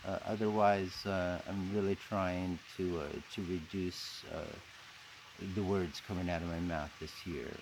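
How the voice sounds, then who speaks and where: A man's very deep, low voice, fairly slow and fairly even in intonation, with audible room echo. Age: 60s. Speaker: vlogger and rock climber. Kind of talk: casual vlog monologue. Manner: halting, many fillers.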